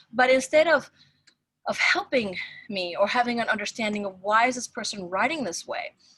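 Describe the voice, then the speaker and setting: A fairly high-pitched woman at a fairly quick pace, bright and sharp in tone, with lively intonation and big swings in loudness. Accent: non-native. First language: not English. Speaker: professor. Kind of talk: casual chat.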